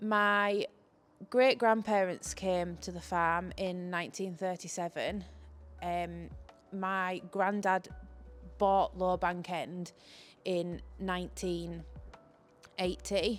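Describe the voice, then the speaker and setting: A woman with a Cumbrian accent speaks at a very slow pace, leaving long, frequent pauses. Music plays in the background. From northern England, Cumbria. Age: 20s. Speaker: farmer. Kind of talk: interview.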